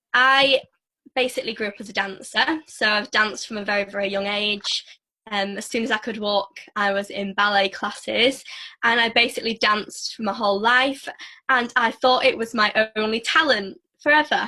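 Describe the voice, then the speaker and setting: A woman with a northern English accent, fairly high in pitch, bright and sharp in tone, with fairly even intonation. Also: moderate pace. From northern England. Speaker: network marketer and former dancer. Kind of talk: casual interview.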